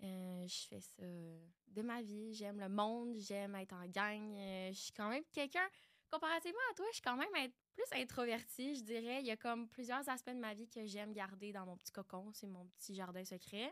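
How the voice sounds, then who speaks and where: This woman talks at a moderate pace with ordinary pitch variation. Her pitch sits fairly high. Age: 20s. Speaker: podcast co-host, dancer and massage therapist. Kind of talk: casual chat.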